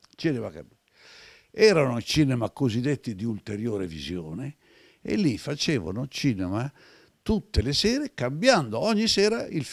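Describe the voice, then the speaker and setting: A man with a medium pitch speaks at a moderate pace, his pitch swinging very widely and his loudness rising and falling sharply, with long, frequent pauses, a dry sound with no echo and a quiet background. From Italy. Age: 70s. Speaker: retired film archive director; interview guest. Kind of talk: interview storytelling. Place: home room. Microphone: handheld.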